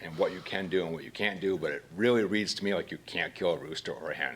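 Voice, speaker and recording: Ordinary pitch variation comes through in a strong Maine accent. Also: man. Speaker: citizen speaking at public comment. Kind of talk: public comment at council meeting. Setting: city council meeting. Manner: halting, with repetitions.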